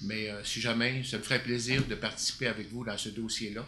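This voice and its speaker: A man's medium-pitched voice in a Quebec accent, monotone and flat, moderate pace, audible room echo. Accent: Québécois French. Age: 60s. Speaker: city councillor. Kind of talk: council meeting report. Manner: hesitant, many fillers.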